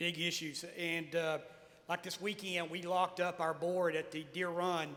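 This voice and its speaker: With a Tennessee accent, a man talks at a fairly slow pace in a high-pitched voice with a bright, sharp tone. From Tennessee (Lawrence County, Smyrna). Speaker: mayor. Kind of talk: panel talk. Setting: stage with audience. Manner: halting, many fillers.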